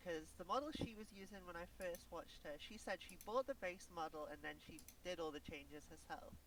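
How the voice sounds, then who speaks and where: Someone with a Welsh accent talks at a fairly quick pace. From Wales. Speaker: vtuber guest. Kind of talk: casual interview chat. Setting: Discord call on a live stream. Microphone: quiet on Discord.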